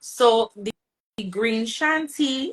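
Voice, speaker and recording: A woman with a Bajan accent, fairly high in pitch, with lively intonation at a very slow pace. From Barbados. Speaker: soca singer. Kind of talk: casual interview.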